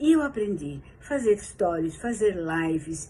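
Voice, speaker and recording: A woman speaks at a very slow pace, her dark, mellow tone somewhat breathy. Her pitch swings very widely. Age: 70s. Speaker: yoga teacher and therapist giving a testimonial. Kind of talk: testimony.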